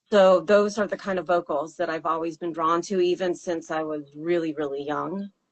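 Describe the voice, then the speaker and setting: This voice keeps a moderate pace with hardly any pauses. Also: woman, fairly low pitch for a woman, fairly even intonation. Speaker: singer-songwriter. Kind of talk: interview. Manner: hesitant, many fillers.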